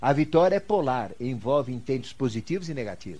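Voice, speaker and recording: With audible room echo, a man with a dark, mellow tone talks at a medium pitch with very wide pitch swings. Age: 70s. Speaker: esoteric teacher. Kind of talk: lecture. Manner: conversational, rhetorical questions.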